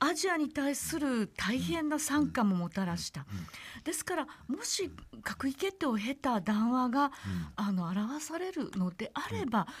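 This woman's voice is high in pitch. It moves through very wide pitch swings. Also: fairly slow pace. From Saitama, Japan. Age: 50s. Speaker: historian; guest. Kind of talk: radio interview. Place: studio.

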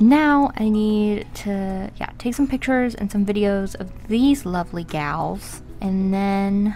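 Faint music plays in the background as a woman speaks at a very slow pace. Her pitch varies in an ordinary way. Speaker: artist vlogger. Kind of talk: casual vlog chat. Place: home room. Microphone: camera far.

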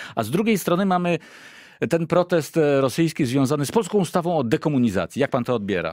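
Over a quiet background, a man with a fairly high pitch talks at a very fast pace with very wide pitch swings, the sound dry with no echo. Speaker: radio host. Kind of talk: radio interview. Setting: studio. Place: studio. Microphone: studio mic.

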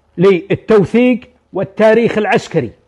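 The speech moves at a fairly slow pace with ordinary pitch variation. The background is quiet. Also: man. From Saudi Arabia. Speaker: retired army major general. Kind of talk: storytelling, oral history. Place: home room.

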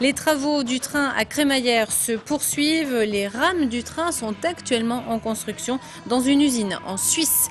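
Music plays in the background. The speaker talks at a fairly slow pace with lively intonation. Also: woman. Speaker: news anchor. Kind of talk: news reading. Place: studio. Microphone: lapel.

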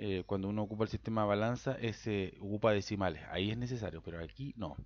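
Speaking with a Chilean accent, a man uses a fairly low pitch over a quiet background. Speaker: software tutorial maker and IT consultant. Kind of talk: tutorial. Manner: halting, with repetitions and filler 'ya'.

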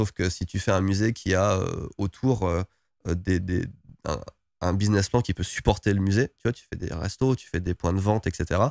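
A man with a very deep, low pitch and fairly even intonation at a moderate pace, in a dry, close sound with no echo on a very clean recording with a silent background. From France, various regions (Lorraine, Oise, Creuse). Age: 40s. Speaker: YouTuber and entrepreneur. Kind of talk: interview. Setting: guest's premises in Tokyo. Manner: hesitant, many repetitions.

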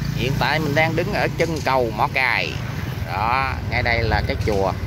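Fairly slow speech in a dry sound with no echo, under loud background noise. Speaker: travel vlogger. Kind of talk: casual vlog commentary. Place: street. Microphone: phone near.

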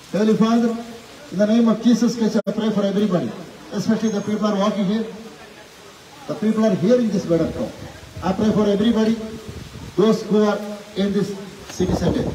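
Over light background noise with audible room echo, a man talks at a very fast pace with fairly even intonation. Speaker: street preacher. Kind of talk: street sermon and prayer. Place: street. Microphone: camera far.

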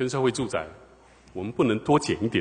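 A man with a Taiwanese accent speaks in a somewhat breathy voice. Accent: Taiwanese Mandarin. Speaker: city councillor. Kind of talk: council interpellation.

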